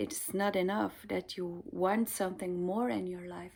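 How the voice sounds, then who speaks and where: A woman with a Dutch accent speaks at a fairly slow pace in a very clean recording with a silent background. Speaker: spiritual card reader. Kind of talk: casual chat to viewers; tarot card reading. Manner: hesitant, many fillers.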